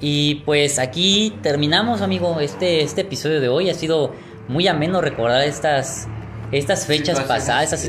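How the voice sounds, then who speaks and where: Someone with a Mexican accent talks at a moderate pace with very even loudness, in a room with audible echo and music in the background. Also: man, fairly high pitch for a man, lively intonation. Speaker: podcast host. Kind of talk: casual chat.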